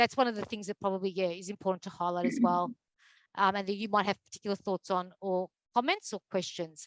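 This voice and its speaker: Someone talks at a fairly quick pace with an Australian accent and fairly even intonation. The sound is dry and close, with no echo. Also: woman. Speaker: mental health advocacy program manager. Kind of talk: presentation. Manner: fast; hesitant with many fillers.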